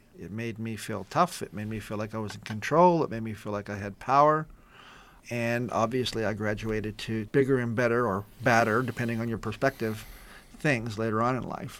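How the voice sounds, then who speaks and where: A man with an American accent speaks at a fairly quick pace in a normal speaking voice, medium in pitch with ordinary variation. The recording is very clean, with a silent background. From Southern California, East San Gabriel Valley. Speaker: former skinhead. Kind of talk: interview testimony.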